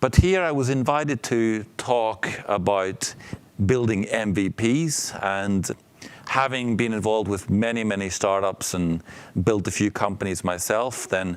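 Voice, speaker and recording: In a Northern Irish accent, a man speaks at a fairly slow pace with a fairly low pitch. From Northern Ireland. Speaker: entrepreneur and startup coach. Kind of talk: talk to startup students. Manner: casual, with many fillers.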